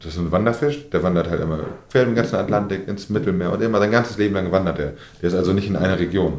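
At a fairly quick pace, a man with a very deep, low pitch and ordinary pitch variation speaks amid audible room echo. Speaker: fishmonger. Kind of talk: interview. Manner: mumbling.

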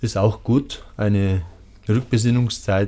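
Speaking at medium pitch, a man has a dark, mellow tone and fairly even intonation. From Lower Bavaria, Germany. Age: 40s. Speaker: tango event organizer. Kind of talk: interview. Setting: studio.

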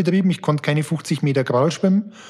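Noticeable background noise runs under this man's voice. His pitch is fairly high, with ordinary variation. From Upper Palatinate, Bavaria (Amberg). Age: 40s. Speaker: banking executive and former endurance athlete. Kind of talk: interview.

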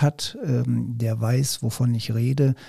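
This man's voice is dark, mellow and somewhat breathy, at medium pitch. His intonation stays fairly even. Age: 50s. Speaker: school principal. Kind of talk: casual chat.

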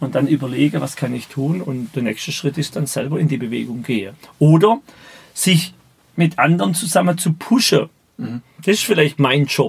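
Vocal fry colors a man's fairly high-pitched voice as he speaks at a moderate pace with lively intonation. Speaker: business mentor. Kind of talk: interview. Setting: podcast studio.

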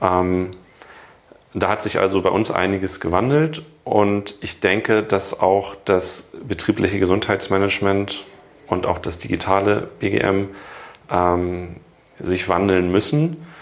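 A man speaks at a very slow pace with long, frequent pauses. His pitch is fairly low, with ordinary variation. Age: 40s. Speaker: corporate health management entrepreneur. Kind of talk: interview.

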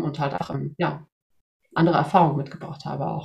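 A woman speaks in a somewhat breathy voice. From Sweden. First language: Swedish (bilingual with German) (speaking German). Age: 40s. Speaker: job application coach. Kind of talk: interview.

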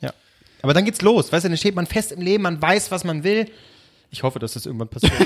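An animated man with a high pitch talks very fast with lively intonation, big swings in loudness, and long, frequent pauses. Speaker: podcast co-host. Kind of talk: casual chat.

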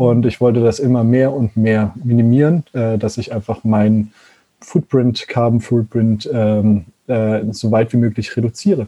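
This man has a dark, mellow tone at a medium pitch, talking fairly slowly with fairly even intonation. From Germany, Konstanz (Lake Constance). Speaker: zero-waste van traveller and content creator, former molecular biologist. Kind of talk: casual interview chat. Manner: halting, many fillers.

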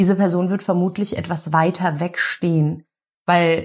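This is a very clean recording with a silent background. The speaker's voice comes across somewhat breathy. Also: woman. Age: 30s. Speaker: family constellation therapist. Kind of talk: interview.

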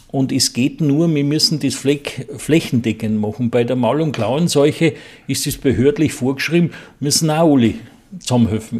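At a moderate pace, a man talks with fairly high pitch and ordinary pitch variation. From Bohemian Forest. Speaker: beekeeper. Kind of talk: interview.

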